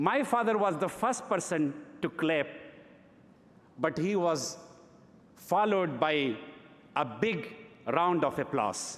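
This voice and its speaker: With long, frequent pauses and a very slow pace, a man speaks at a high pitch with lively intonation and very even loudness. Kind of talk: gala award acceptance speech. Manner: reflective, storytelling.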